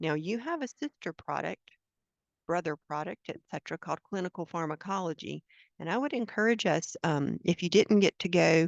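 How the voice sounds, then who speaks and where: The voice moves at a fairly quick pace with lively intonation and vocal fry, recorded with a dry, close sound, no echo and a quiet background. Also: woman, fairly low pitch for a woman. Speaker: product trainer, former librarian. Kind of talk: software training webinar. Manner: fast.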